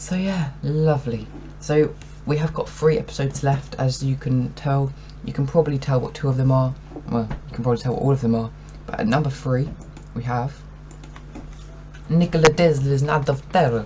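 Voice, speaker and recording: Moderate pace with long, frequent pauses over noticeable background noise. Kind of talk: casual talk to camera. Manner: stuttering.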